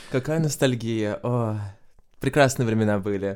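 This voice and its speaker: On a very clean recording with a silent background, a man talks at a fairly slow pace in an ordinary speaking voice, his pitch fairly low. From Estonia, Tallinn. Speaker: Eurovision fan guest. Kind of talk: podcast interview.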